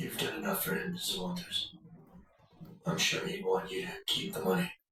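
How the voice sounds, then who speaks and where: A man in a raspy, put-on character voice speaks at a moderate pace with a slight echo. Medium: video game. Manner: terse, measured.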